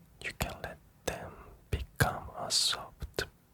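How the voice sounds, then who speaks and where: At a very slow pace, a whisper comes through noticeable background noise. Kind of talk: whispered ASMR sleep talk to camera. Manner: whispered, slow, soft-spoken.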